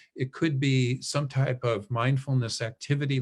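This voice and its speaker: At a medium pitch for his voice, a man talks at an even, moderate speed with a slightly breathy quality. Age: 60s. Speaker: professor. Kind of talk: webinar Q&A. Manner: casual, conversational with fillers.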